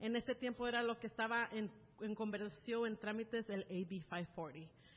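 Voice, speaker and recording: Speaking rather slowly, a woman uses lively intonation. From California, USA (born in Mexico City, moved at about 3). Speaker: church member sharing her life story. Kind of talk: testimony.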